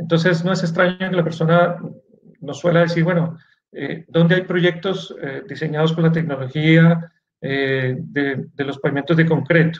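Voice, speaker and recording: A man with a high pitch speaks at a fairly slow pace with fairly even intonation. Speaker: engineering instructor. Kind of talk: lecture. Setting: video call. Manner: halting.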